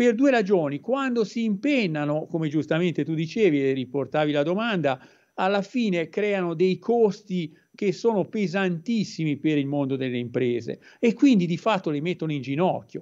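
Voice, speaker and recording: A high-pitched man at a moderate pace, with very wide pitch swings and a quiet background. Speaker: professor. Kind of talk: interview on economics. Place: home room. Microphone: video call.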